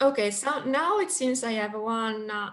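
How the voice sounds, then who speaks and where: Speaking very slowly, a woman delivers her words. Her voice sits fairly high. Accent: non-native. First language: not English. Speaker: session chair. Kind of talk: casual chat.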